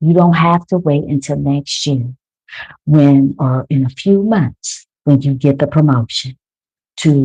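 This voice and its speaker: Somewhat breathy and soothing in tone, a woman speaks with ordinary pitch variation in a dry, close sound with no echo. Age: 50s. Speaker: wellness coach. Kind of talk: guided meditation.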